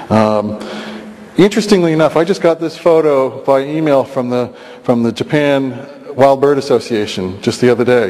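A man with a normal speaking voice, lively intonation and a moderate pace. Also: fairly high pitch for a man. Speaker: biologist researcher. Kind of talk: lecture. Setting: stage with audience. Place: hall. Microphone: podium.

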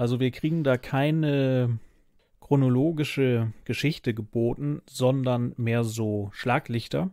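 Very slow and dark, mellow in tone, a man speaks at medium pitch, the sound dry with no echo over a quiet background. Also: ordinary pitch variation. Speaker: podcast host. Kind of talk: casual chat. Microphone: studio mic.

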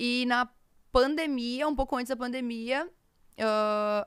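At a fairly slow pace, a woman talks with ordinary pitch variation over a quiet background. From Rio Grande do Sul interior, Brazil. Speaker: content creator. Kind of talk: casual interview. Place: studio. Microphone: studio mic.

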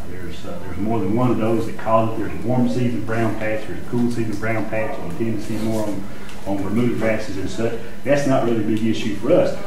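Faint music plays in the background while a man speaks with audible room echo. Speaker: presenter. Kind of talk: lecture. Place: meeting room. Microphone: camera far.

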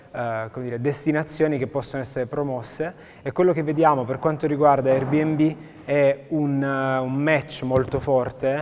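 Over light background noise, a man speaks at a moderate pace. His intonation is monotone and flat. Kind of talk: interview answer. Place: hall. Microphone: lapel.

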